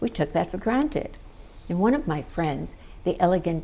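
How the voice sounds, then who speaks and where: Over noticeable background noise, a woman talks fairly quickly with ordinary pitch variation. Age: 80s. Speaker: psychotherapist, producer, director, show host. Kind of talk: casual talk to camera, personal storytelling.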